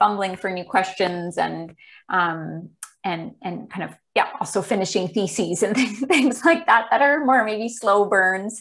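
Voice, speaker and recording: A woman speaks at a fairly slow pace with lively intonation. Her loudness swings widely. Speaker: presenter. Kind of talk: presentation talk on video call. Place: home room. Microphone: earbuds.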